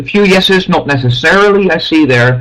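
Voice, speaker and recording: Speaking at a moderate pace with lively intonation, a man talks in a Dutch accent. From Netherlands. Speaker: math teacher giving a webinar. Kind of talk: webinar presentation. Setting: online webinar.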